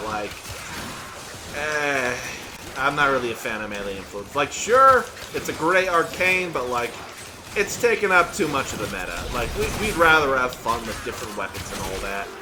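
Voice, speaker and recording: A man with a fairly high voice speaks at a moderate pace. Audible room echo and noticeable background noise come through. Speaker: gaming YouTuber and voice actor. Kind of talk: gameplay commentary. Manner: repeats and stumbles on words; casual, conversational.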